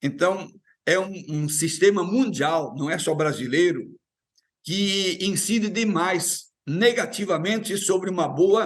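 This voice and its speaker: Very slowly, a man speaks in a high-pitched voice with lively intonation. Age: 70s. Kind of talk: TV panel interview.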